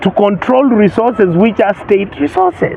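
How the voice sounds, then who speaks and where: Over noticeable background noise, a man talks at a moderate pace with a high pitch. His tone is animated and his intonation lively. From Kenya. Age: 60s. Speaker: senator. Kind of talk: interview.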